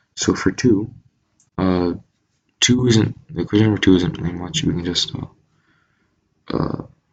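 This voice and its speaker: The man's pitch is very deep and low. He keeps to a moderate pace. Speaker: math tutor. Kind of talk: tutorial. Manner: monotone; casual, hesitant with fillers.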